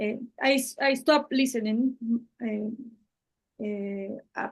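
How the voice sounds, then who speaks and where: A Spanish accent with ordinary pitch variation. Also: woman. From Spanish-speaking Latin America. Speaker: channel host and translator. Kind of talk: one-on-one conversation. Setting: video call. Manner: halting.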